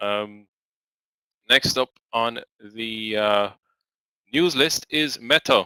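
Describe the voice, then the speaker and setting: Speaking very slowly with long, frequent pauses, a man uses a medium pitch with ordinary variation and a bright, sharp tone. The very clean recording has a silent background and a dry, close sound with no echo. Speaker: day trading live stream host. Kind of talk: live stream market news commentary. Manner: hesitant, many fillers.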